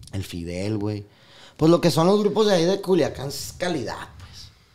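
A man speaks with lively intonation in a dark, mellow tone. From Mexico. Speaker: corridos singer and songwriter; podcast guest. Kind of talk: casual interview chat. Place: studio. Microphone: studio mic.

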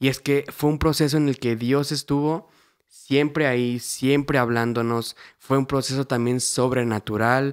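The recording is very clean, with a silent background, and a man speaks at medium pitch, fairly slowly. He has an unremarkable speaking voice, with fairly even intonation and very even loudness. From Mexico, Querétaro. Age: 20s. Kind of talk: casual testimony chat.

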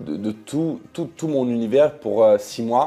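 The man's tone is dark and mellow. He delivers his words at a fairly slow pace. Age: 20s. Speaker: reality TV personality and YouTuber. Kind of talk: personal vlog confession. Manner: halting, many hesitations.

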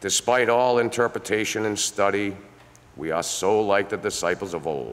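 In a normal speaking voice, a man talks fairly slowly at a fairly low pitch with lively intonation. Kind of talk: prayer. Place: church.

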